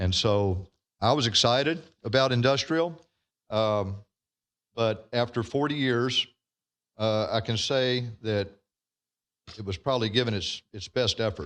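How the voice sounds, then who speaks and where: A man speaks at a medium pitch with a Texan accent, at a fairly slow pace with long, frequent pauses. His pitch varies in an ordinary way, and the background is quiet. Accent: Texas Southern. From Texas. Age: 60s. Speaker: landowner speaking at public hearing. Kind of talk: public comment at council meeting.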